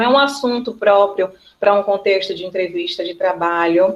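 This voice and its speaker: A woman talks in a normal speaking voice at a medium pitch. Her pitch varies in an ordinary way. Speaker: teacher. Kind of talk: online class lecture. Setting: video call.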